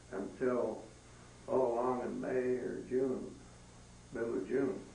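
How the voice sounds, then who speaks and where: Very slow speech from a man, with audible room echo and noticeable background noise. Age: 80s+. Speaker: retired livestock specialist. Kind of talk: museum talk. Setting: museum room with small audience. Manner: halting.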